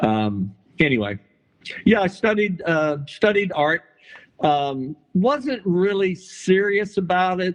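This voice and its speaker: Lively in intonation, a man with a high pitch speaks at a very slow pace. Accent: Texan. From Texas, San Antonio. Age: 70s. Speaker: artist. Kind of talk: interview. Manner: halting, many fillers and repetitions.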